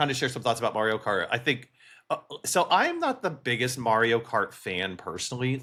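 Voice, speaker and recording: A loud man talks fairly quickly at medium pitch in a bright, sharp tone. The recording is very clean, with a silent background. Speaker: gaming podcast co-host. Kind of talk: casual chat.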